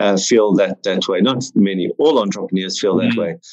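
A man with a South African accent and a fairly low pitch, at a moderate pace. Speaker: entrepreneur. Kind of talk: casual interview chat.

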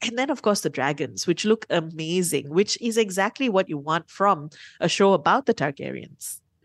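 A woman with a plain, everyday voice and a fairly low pitch talks at a moderate pace, the sound dry and close with no echo against a quiet background. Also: lively intonation. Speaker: radio host. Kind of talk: casual chat.

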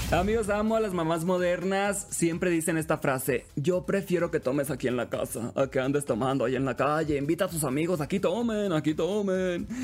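A man with a high pitch talks with hardly any pauses. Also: ordinary pitch variation, very even loudness. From Sinaloa, Mexico (Los Mochis). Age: young. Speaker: radio host. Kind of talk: casual chat. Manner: animated.

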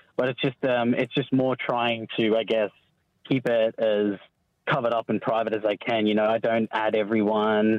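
A man with an English accent speaks at a medium pitch and a moderate pace. His intonation is monotone and flat, his loudness very even. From England. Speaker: former witness in protection program. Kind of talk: radio phone interview. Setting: phone call. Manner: halting.

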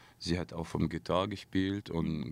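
A man speaks with an Arabic accent at a fairly slow pace. His voice is very deep and low. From Syria. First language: Arabic (speaking German). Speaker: singer. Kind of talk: interview. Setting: studio.

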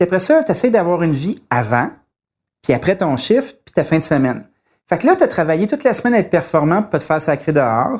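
A man's high-pitched voice at a very fast pace, with very wide pitch swings and big swings in loudness, in a very clean recording with a silent background. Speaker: chef. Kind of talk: casual chat.

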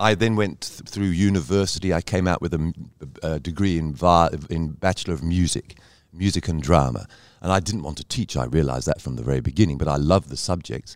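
Using an English accent, a man with a very deep, low pitch speaks at a very fast pace with ordinary pitch variation. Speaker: cabaret performer. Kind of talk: casual interview.

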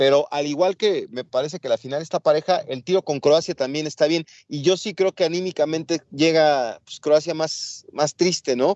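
A man with a Mexican accent speaks at a moderate pace in a fairly high pitch. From Mexico. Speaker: sports podcast co-host. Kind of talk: casual sports talk.

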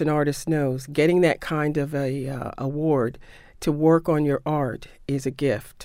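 In an American accent, a woman with a very deep, low pitch and a dark, mellow tone speaks fairly slowly, her intonation fairly even. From New York City. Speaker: arts agency executive and novelist. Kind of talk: radio interview.

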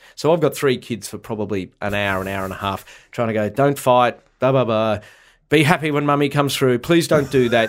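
Here a man speaks at a fairly quick pace. His medium pitch shows ordinary variation. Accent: Australian. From Australia, country Victoria. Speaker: comedian. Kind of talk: casual chat. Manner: animated.

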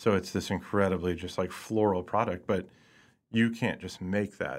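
A man with an American accent, fairly quick pace and fairly even intonation on a very clean recording with a silent background. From US Midwest, Lee's Summit, Missouri (Kansas City area). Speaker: chef. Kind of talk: interview. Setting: studio.

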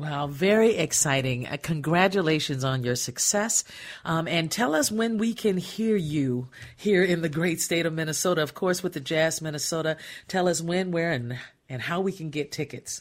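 A woman with a fairly low pitch and a warm, enthusiastic tone at a moderate pace. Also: ordinary pitch variation. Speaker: radio arts and entertainment show host. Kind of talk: casual interview. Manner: warm and enthusiastic.

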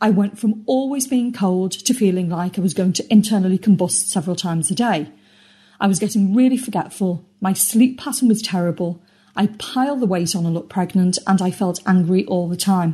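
A woman with a British accent speaks at a fairly quick pace in a somewhat breathy, dark and mellow tone, her pitch medium with ordinary variation, on a very clean recording with a silent background. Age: 50s. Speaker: podcast community member. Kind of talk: testimony. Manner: scripted reading.

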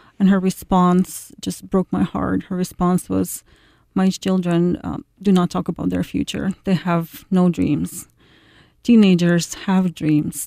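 A woman with a Ukrainian accent speaks at a fairly slow pace with long, frequent pauses, in a very clean recording with a silent background and a dry, close sound with no echo. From Ukraine, Kyiv. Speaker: university administrator. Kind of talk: radio interview. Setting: studio.

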